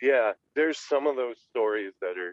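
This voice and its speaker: A man speaks at a moderate pace. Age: 30s. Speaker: podcast guest. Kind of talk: casual chat. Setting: video call.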